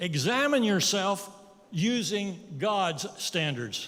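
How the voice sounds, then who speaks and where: A man's high-pitched voice with lively intonation, plus audible room echo and noticeable background noise. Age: 80s+. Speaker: guest preacher. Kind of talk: sermon.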